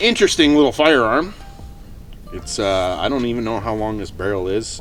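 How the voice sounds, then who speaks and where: Music plays in the background as someone talks at a fairly quick pace with audible room echo. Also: man. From Canada. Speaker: firearms video host. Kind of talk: casual tutorial. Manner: casual, many filler words.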